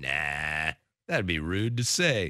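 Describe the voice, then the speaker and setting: Recorded very cleanly against a silent background, a man speaks at a fairly slow pace in a bright, sharp tone, the sound dry and close with no echo. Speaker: sports radio host. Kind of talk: casual chat. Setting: studio. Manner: enunciates clearly.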